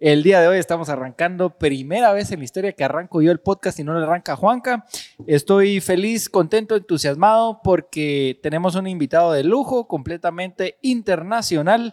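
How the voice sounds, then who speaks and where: A man's high-pitched voice at a moderate pace with hardly any pauses, dry and close with no echo, on a very clean recording with a silent background. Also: ordinary pitch variation. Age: 20s. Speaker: podcast co-host. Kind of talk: casual podcast chat.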